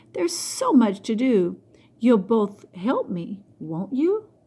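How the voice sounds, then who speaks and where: Delivered at a fairly slow pace, the voice is a put-on character voice. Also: woman, fairly high pitch for a woman. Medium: read story. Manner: bright, eager.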